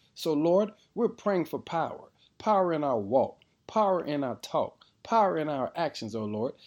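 In a very clean recording with a silent background, a man with a warm tone speaks at a moderate pace and fairly high pitch, his voice swinging very widely in pitch. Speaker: devotional prayer leader. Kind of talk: fervent prayer, led aloud to God. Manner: warm, reverent, building in intensity toward a declarative "amen".

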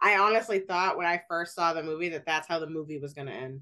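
With a normal speaking voice, a woman talks fairly quickly at a fairly low pitch against a quiet background. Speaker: podcast host. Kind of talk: casual book discussion podcast.

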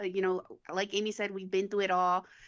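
The woman's tone is bright and sharp. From Uvalde, Texas. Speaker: podcast co-host. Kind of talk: casual live podcast chat.

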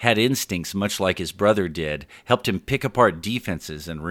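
Intonation here is lively. The delivery is plain reading aloud.

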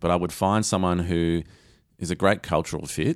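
A man with an Australian accent and a very deep, low pitch talks at a moderate pace on a very clean recording with a silent background. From Australia, Geelong area (Lara, Victoria). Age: 40s. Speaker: digital marketing agency owner. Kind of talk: interview.

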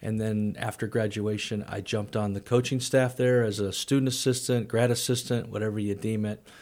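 On a very clean recording with a silent background, a man with a Midwestern American accent talks at a fairly quick pace and a fairly low pitch, his intonation flat and monotone. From US Midwest, St. Louis area. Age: 50s. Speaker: college athletic director. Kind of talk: casual interview. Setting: studio.

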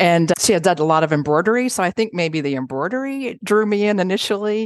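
In a dry, close recording with no echo and a quiet background, a woman with an American accent speaks at a moderate pace with lively intonation. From Houston, Texas. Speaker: quilt historian and author. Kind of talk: interview conversation.

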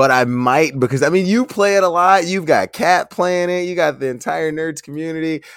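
On a very clean recording with a silent background, a man with an ordinary speaking voice talks at a moderate pace with hardly any pauses, at a fairly high pitch and with ordinary pitch variation. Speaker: Twitch streamer. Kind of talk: casual chat.

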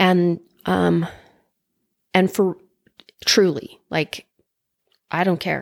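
Fairly low in pitch, a woman speaks very slowly with fairly even intonation and long, frequent pauses. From Utah, Orem. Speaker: podcast guest sharing her story of leaving religion. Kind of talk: personal testimony in conversation. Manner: halting, repeats words.

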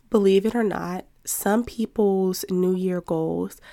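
On a very clean recording with a silent background, a woman speaks at medium pitch. Her tone is dark and mellow, her intonation fairly even. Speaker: podcast host. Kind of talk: solo motivational talk.

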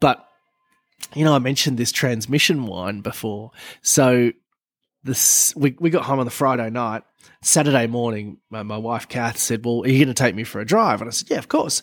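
A man with an Australian accent at a moderate pace, in a very clean recording with a silent background. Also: medium pitch for a man, ordinary pitch variation. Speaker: car podcast co-host. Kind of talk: casual chat.

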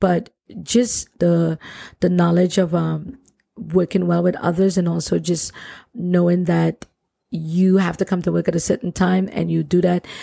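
In a Trinidadian accent, a woman with a fairly low pitch speaks at a fairly slow pace, her intonation monotone and flat and her loudness very even. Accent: Trinidadian Caribbean. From Trinidad and Tobago. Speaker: plumber and nonprofit founder. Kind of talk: casual interview conversation.

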